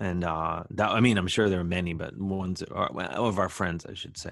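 A man with an American accent speaks at a very deep, low pitch with fairly even intonation. The background is quiet. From Ohio, Cleveland area. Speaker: comedian and musician. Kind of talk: casual chat.

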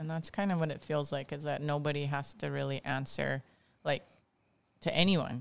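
A woman with a Hawaiian accent and a very deep, low pitch talks at a moderate pace with fairly even intonation and long, frequent pauses, on a very clean recording with a silent background. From Hawaii (Kauai). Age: 40s. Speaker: dance teacher and council candidate. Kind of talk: casual chat.

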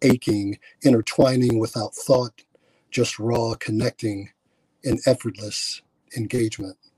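A man with an American accent, medium pitch and a dark, mellow tone, somewhat breathy, at a fairly slow pace with monotone, flat intonation. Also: dry, close sound with no echo. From Milwaukee, Wisconsin. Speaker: poet. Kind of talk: spoken word poetry performance. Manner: drawing in, rhythmic.

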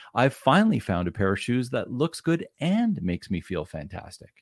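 Speaking at a moderate pace with very wide pitch swings, a man with a Canadian accent is heard in a dry, close recording with no echo, very clean and with a silent background. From Canada, Ottawa area. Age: 50s. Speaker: business coach. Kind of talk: podcast interview.

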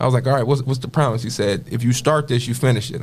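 A man with an American accent talks at a very fast pace and a medium pitch, with vocal fry. Audible room echo is present. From Toledo, Ohio, US Midwest. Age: 30s. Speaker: community youth mentor. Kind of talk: personal testimony.

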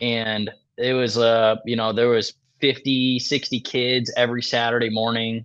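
The man speaks at a medium pitch in a monotone, flat intonation. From Michigan. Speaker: professional archer and hunting video creator. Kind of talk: casual podcast interview.

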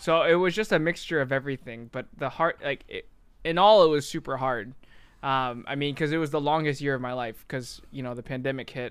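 A man uses an ordinary speaking voice, fairly high in pitch with ordinary pitch variation, at a fairly quick pace on a very clean recording with a silent background. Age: 20s. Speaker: software developer and content creator. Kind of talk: casual chat.

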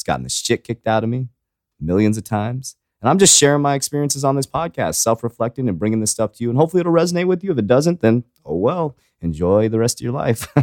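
An energetic man speaks at a very fast pace with very wide pitch swings. The sound is dry and close with no echo, on a very clean recording with a silent background. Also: medium pitch for a man. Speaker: podcast host, fitness coach. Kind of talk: casual, frequent profanity. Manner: fast talker; energetic, motivational.

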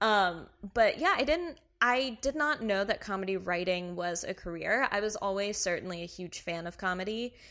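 A woman speaks at a moderate pace with an American accent and a medium pitch. Her tone is bright and sharp against a quiet background. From US South, Kentucky. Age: 20s. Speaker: comedy writer. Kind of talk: casual chat.

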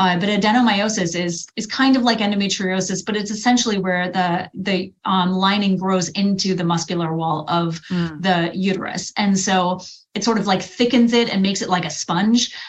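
Somewhat breathy female voice with fairly even intonation. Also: medium pitch for a woman, moderate pace, hardly any pauses. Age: 40s. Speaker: women's health coach. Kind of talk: interview.

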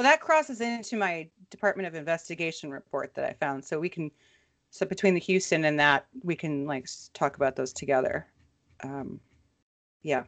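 Over a quiet background, a woman with a fairly low pitch speaks at a fairly quick pace with lively intonation. She has a normal speaking voice. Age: 40s. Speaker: podcast co-host. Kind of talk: casual chat.

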